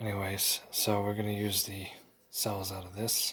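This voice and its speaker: A man speaks quietly. His voice is somewhat breathy. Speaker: flashlight reviewer. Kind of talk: unboxing. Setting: at home at night. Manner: quiet, kept low.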